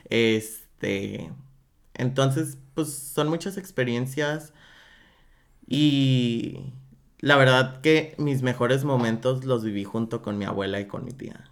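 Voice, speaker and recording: Speaking very slowly, a man with a medium pitch shows ordinary pitch variation and big swings in loudness. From Mexico, Guadalajara. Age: 20s. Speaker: drag performer. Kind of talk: casual interview.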